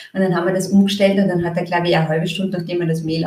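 Through noticeable background noise, a woman speaks at medium pitch with monotone, flat intonation. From Austria, Graz. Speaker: marketing consultant. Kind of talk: casual interview.

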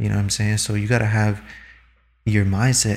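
A man with a fairly low pitch sounds somewhat breathy as he talks. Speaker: podcast guest. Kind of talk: casual banter chat.

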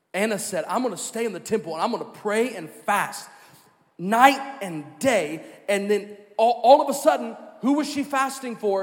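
An animated man talks at a moderate pace with lively intonation and a high pitch. Audible room echo surrounds his voice. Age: 30s. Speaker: pastor. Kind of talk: sermon. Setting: church.

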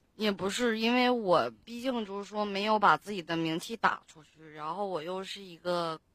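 This woman's voice sits at a medium pitch and has a bright, sharp tone. She talks at a moderate pace with ordinary pitch variation. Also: hardly any pauses, big swings in loudness. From Liaoning, Benxi. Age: 20s. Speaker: caller. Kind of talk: casual chat.

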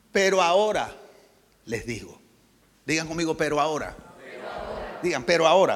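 Noticeable background noise and audible room echo surround a man with a fairly high pitch. He speaks at a moderate pace with ordinary pitch variation and long, frequent pauses. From Colombia, Barranquilla. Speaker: pastor. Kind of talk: sermon.

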